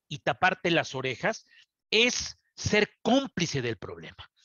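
A man with a Mexican accent at a very slow pace, dry sound with no echo, quiet background. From Mexico. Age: 50s. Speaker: journalist. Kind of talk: TV interview. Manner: halting, frequent fillers and repetitions. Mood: serious, indignant. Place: office. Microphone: headset.

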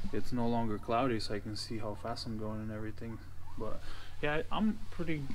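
A man at a moderate pace with ordinary pitch variation and light background noise. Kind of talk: casual vlog chat. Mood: relaxed, slightly self-deprecating. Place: garage. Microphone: phone near.

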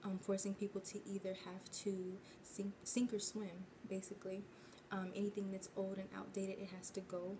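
Moderate pace and a flat, monotone delivery over noticeable background noise. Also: woman. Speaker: tarot reader. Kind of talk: tarot reading commentary. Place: home room. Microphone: phone near.

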